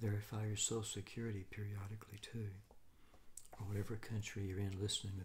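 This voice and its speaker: Light background noise backs a man with an American accent whose somewhat breathy, fairly low voice moves at a fairly quick pace with monotone, flat intonation. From United States. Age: 60s. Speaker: retired financial analyst. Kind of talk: casual advice monologue. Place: home room.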